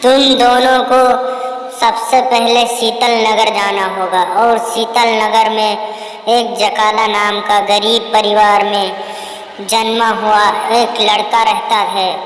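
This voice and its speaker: A cartoonish character voice, female-sounding and fairly high in pitch, very slow, with a clear echo. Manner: pleading.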